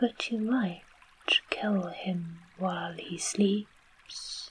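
A soft-spoken, female-sounding put-on character voice goes at a very slow pace in a medium pitch for a woman.

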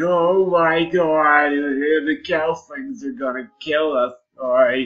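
A put-on character voice in a New York accent sits at a middle pitch and moves at a very slow pace.

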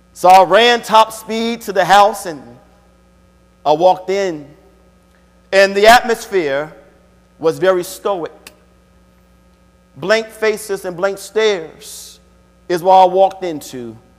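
A man talks very slowly in a high voice with ordinary pitch variation. He leaves long, frequent pauses. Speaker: preacher. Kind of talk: sermon. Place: church.

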